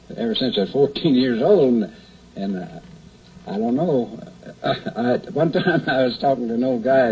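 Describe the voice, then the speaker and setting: Very wide pitch swings mark a man speaking with an American accent. Noticeable background noise runs underneath. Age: 70s. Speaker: backyard museum owner. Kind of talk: interview. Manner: halting.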